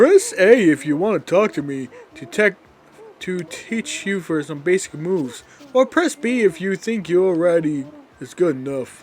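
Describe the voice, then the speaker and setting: At a moderate pace, a man talks in a put-on character voice with a high pitch. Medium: game stream. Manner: patient, helpful.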